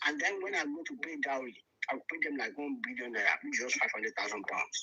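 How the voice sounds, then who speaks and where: A man with a strong Nigerian accent talks very fast at a high pitch. His voice swings very widely up and down. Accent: Nigerian, very thick. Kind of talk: casual chat.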